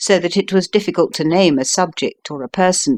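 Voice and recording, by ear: Ordinary pitch variation while reading aloud in a natural voice, the background quiet.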